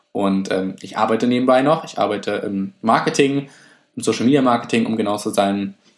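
His voice sits at a medium pitch. This man's pitch moves in an ordinary way. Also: fairly quick pace. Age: 20s. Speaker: podcast host, student and fitness enthusiast. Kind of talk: casual solo podcast talk. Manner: hesitant, many filler sounds.

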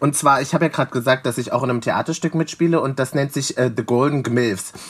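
This man has a plain, everyday voice. He moves at a fairly quick pace with ordinary pitch variation. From Leipzig, eastern Germany. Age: 20s. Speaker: drag performer and DJ. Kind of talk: casual interview.

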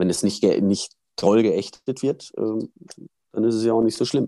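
Speaking fairly slowly, a man uses a dark, mellow tone with ordinary pitch variation. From Germany, Münster (Westphalia). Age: 40s. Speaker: former pro cyclist and cycling pundit. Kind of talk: interview.

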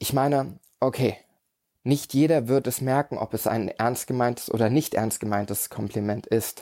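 Over a silent background on a very clean recording, a man speaks at a moderate pace and medium pitch, his tone dark and mellow and his intonation fairly even. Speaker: podcast host and coach. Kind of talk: solo podcast monologue.

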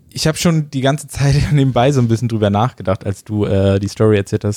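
Fairly quick and medium in pitch, a man's voice carries a dark, mellow tone with ordinary pitch variation. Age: 20s. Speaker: podcast host and gaming YouTuber. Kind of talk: casual chat. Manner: casual, colloquial.

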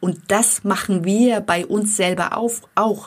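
A woman's somewhat breathy, medium-pitched voice with fairly even intonation. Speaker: life coach for women; podcast host. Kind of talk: motivational monologue.

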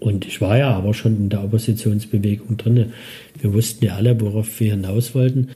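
A fairly low-pitched man at a fairly quick pace, monotone and flat, over noticeable background noise. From Dresden, Saxony, eastern Germany. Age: 50s. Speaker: city archive director. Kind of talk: interview.

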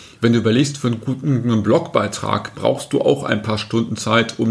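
This man has a normal speaking voice at medium pitch. He talks at a moderate pace with ordinary pitch variation. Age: 50s. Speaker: marketing agency director. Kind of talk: podcast interview.

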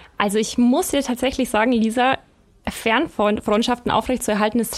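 The woman's pace is fairly quick. Her pitch runs fairly high. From Bavaria, Germany. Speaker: magazine editor. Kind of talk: casual chat. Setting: studio.

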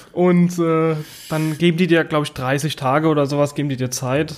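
Fairly high in pitch, a man talks at a moderate pace with fairly even intonation. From Mannheim area, Germany. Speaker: podcast host. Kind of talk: casual chat.

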